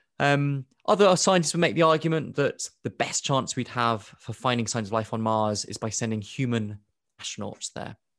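In a British accent, a man with a medium pitch speaks at a moderate pace with lively intonation. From Kenya (Nairobi), born in UK. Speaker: astrobiology professor and author. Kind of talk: interview.

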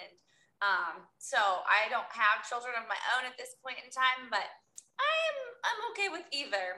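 With an American accent, the speaker uses a raised, projected voice with a bright, sharp tone. The pace is fairly slow, with very wide pitch swings and big swings in loudness. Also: woman, high pitch for a woman. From US Midwest, Iowa. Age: 30s. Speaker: podcast host. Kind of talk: interview.

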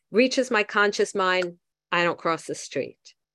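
In a very clean recording with a silent background, a woman at medium pitch speaks at a moderate pace with a bright, sharp tone. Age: 60s. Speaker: twelve-step recovery meeting leader. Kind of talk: recovery meeting talk reading from a book.

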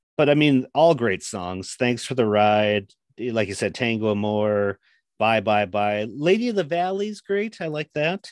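With an American accent, a man talks in a fairly low voice with lively intonation. The sound is dry and close with no echo, and the background is quiet. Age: 40s. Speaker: podcast guest, music fan. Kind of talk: casual chat.

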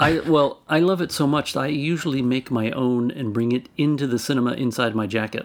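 With a normal speaking voice, a man talks at a fairly quick pace with hardly any pauses, in a medium pitch with ordinary pitch variation. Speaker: sound recordist. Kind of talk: casual interview chat.

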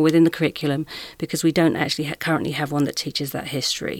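The recording is very clean, with a silent background. A woman speaks with a very deep, low pitch. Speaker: education diversity consultant. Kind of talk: panel discussion. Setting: studio.

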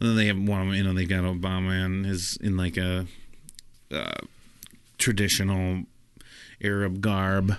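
Speaking at a fairly slow pace, a man uses a very deep, low pitch and an animated tone. Long pauses come often. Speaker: podcast host. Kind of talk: casual comedic banter. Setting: live stream. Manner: joking, crude, animated.

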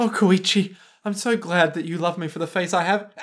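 A put-on character voice, raspy and strained, sits at a middle pitch. It moves at a fairly quick pace. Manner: comedic, exaggerated.

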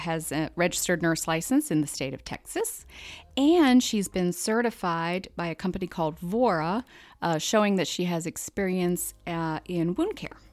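Over a silent background in a very clean recording, a woman with an American accent talks at a moderate pace with lively intonation and a fairly low pitch, a plain, everyday voice. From central Pennsylvania. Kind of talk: casual chat.

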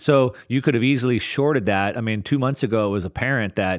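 This man has a plain, everyday voice at a medium pitch with ordinary pitch variation. He talks at a fairly quick pace on a very clean recording with a silent background. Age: 40s. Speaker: investor and market analyst. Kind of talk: casual interview.

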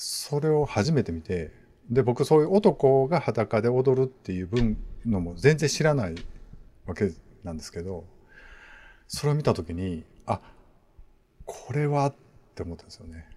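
The voice has a dark, mellow tone, somewhat breathy, with very wide pitch swings, big swings in loudness, and long, frequent pauses. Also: man, medium pitch for a man, moderate pace, very clean recording, silent background. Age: 40s. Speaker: podcast host. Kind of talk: casual chat.

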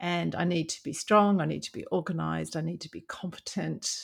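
Talking at a fairly quick pace, a woman with an Australian accent comes through in a very clean recording with a silent background. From Brisbane, Australia. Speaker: veterinarian, veterinary board official. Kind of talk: interview.

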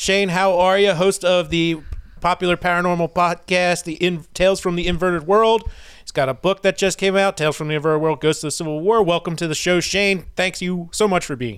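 Fairly even intonation at a fairly quick pace. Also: man, high pitch for a man, very clean recording, silent background. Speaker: podcast host. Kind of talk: casual podcast interview.

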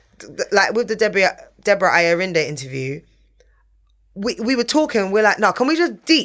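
A woman with a London accent, medium in pitch, with very wide pitch swings, big shifts in loudness, vocal fry, a fairly quick pace and long, frequent pauses. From England. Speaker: TV and radio presenter. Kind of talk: casual interview. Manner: animated.

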